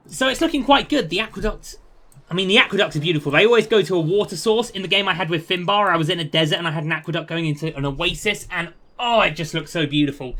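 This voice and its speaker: Talking at a very fast pace, a man uses a British accent. His voice is high-pitched with ordinary pitch variation. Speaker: video game streamer. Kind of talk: gameplay commentary. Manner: casual, chatty.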